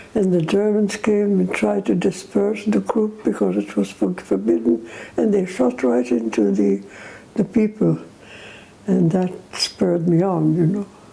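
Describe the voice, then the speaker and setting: The voice moves in very wide pitch swings at a fairly slow pace, with very even loudness over noticeable background noise. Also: woman, fairly low pitch for a woman. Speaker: war veteran. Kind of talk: testimony. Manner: halting.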